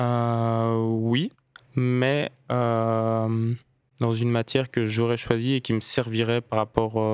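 Very slow and medium in pitch, a man's voice has monotone, flat intonation in a dry, close sound with no echo. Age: 20s. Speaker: court law clerk. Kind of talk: interview. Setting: radio studio. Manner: hesitant, many fillers.

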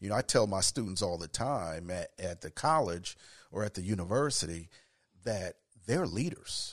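Over a silent background in a very clean recording, a man with a fairly low pitch talks at a moderate pace with lively intonation. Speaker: mentor and educator. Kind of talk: casual interview.

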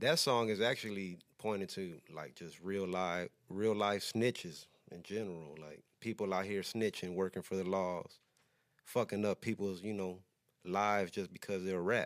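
Very deep, low pitch from a man with an American accent, fairly even intonation and a moderate pace, on a very clean recording with a silent background. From Texas (Huntsville). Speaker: rapper. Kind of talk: casual interview.

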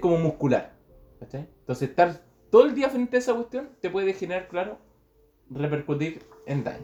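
The speaker talks fairly quickly in a Chilean accent, the pitch swinging very widely. Noticeable background noise runs underneath. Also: man. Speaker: podcast co-host. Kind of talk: casual chat.

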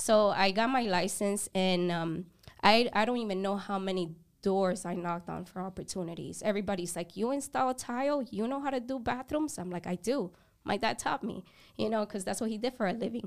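A woman speaks fairly quickly in a normal speaking voice, medium in pitch with ordinary pitch variation. The recording is very clean, with a silent background. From a developing country, moved to the US at 10. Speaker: photography business owner. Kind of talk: casual interview. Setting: podcast studio.

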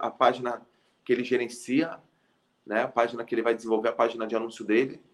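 Talking at a very fast pace with long, frequent pauses, a man keeps a medium pitch and fairly even intonation. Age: 30s. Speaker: tech startup founder and CEO. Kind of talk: business interview. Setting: live video stream.

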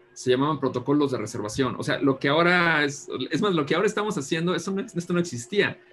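Speaking at a very fast pace, a man with a fairly high voice talks with a central Mexican accent. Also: lively intonation. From Mexico, Guanajuato. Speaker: design consultant and professor. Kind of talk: interview.

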